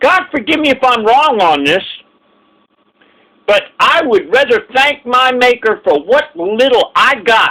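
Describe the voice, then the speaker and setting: A man speaks in a raised, projected voice with an extremely high pitch, lively intonation and very even loudness, at a fairly slow pace broken by long, frequent pauses. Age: 60s. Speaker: vlogger. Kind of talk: casual monologue. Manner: halting; impassioned.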